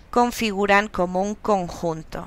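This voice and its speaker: Very slowly, a woman speaks. Her pitch is fairly high. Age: 40s. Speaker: university lecturer and master's student. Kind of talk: narrated class presentation. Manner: halting.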